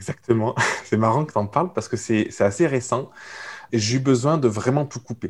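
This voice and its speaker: This man's voice is somewhat breathy, medium in pitch, with ordinary pitch variation. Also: moderate pace. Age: 30s. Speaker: entrepreneur coach. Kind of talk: casual chat.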